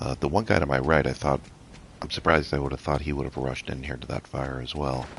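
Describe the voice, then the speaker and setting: A man speaks at a very fast pace with a very deep, low pitch. Noticeable background noise sits behind him. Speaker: gaming youtuber. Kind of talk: gameplay commentary. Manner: quiet, trying not to wake others; casual, hesitant with fillers.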